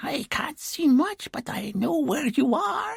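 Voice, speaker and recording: A put-on character voice at a fairly high pitch moves slowly through very wide pitch swings. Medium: read story. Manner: chatty, self-satisfied.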